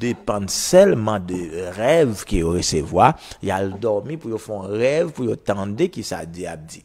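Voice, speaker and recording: Here is a man with an ordinary speaking voice and fairly low pitch. He talks at a fairly slow pace with lively intonation. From Haiti. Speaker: prophet and radio preacher; radio preacher. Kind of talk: radio sermon / teaching. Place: studio. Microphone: lapel.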